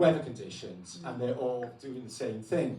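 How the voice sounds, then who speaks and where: A man with a Welsh accent is heard with audible room echo and noticeable background noise. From Wales. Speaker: guest speaker on alternative history. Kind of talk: talk to an audience. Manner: loud, projecting voice.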